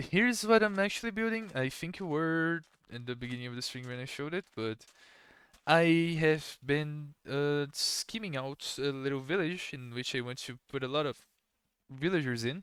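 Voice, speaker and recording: Someone with a Portuguese accent speaks at a moderate pace on a very clean recording with a silent background. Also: man, fairly high pitch for a man, lively intonation. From Brazil. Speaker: gaming streamer. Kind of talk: casual chat. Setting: live stream.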